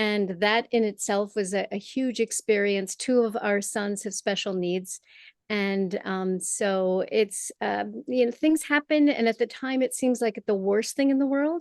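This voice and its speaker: With an American accent, a woman speaks at a fairly slow pace and a fairly high pitch, with ordinary pitch variation. The sound is dry and close with no echo, over a quiet background. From Michigan, US. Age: 60s. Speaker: playwright and performer. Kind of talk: interview. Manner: halting.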